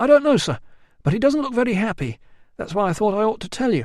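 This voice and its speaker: In a put-on character voice, a man talks at a very fast pace. His pitch is high and his intonation lively. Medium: read story. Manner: deferential, anxious.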